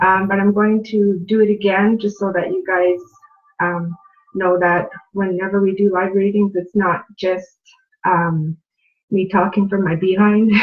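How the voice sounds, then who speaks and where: Music plays in the background as a woman speaks at a medium pitch. Her pace is fairly slow and her intonation monotone and flat. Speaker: spiritual teacher and reader. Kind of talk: live spiritual teaching stream. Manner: casual, with many fillers.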